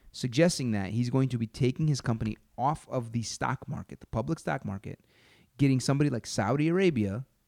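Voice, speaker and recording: In a dry, close sound with no echo, a man with an animated tone talks at a fairly quick pace, medium in pitch with ordinary pitch variation. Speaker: comedian and podcast host. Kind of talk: casual comedic chat. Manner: joking, animated.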